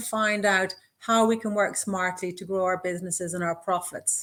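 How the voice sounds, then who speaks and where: Her intonation stays fairly even. The woman speaks with a western Irish accent at a moderate pace. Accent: Irish, west of Ireland. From west of Ireland, Castlebar. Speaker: business mentor. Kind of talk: live interview. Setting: livestream.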